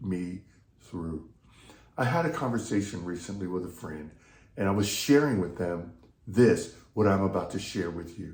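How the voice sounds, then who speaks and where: A man with an American accent, somewhat breathy, with ordinary pitch variation and audible room echo. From US South (Texas/Louisiana). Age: 60s. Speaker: pastor and leadership coach. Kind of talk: devotional talk.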